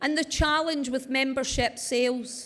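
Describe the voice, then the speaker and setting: A woman speaks loudly at a fairly slow pace with a high pitch. Her intonation is flat and monotone. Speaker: wellbeing speaker. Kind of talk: conference talk. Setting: stage with audience.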